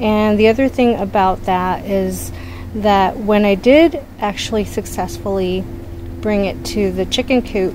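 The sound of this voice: Over clear background noise, a woman talks at a fairly slow pace and a medium pitch, with ordinary pitch variation.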